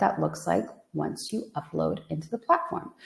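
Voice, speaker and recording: A woman speaks in an American accent at a moderate pace. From United States. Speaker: software product demonstrator. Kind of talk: product demo webinar.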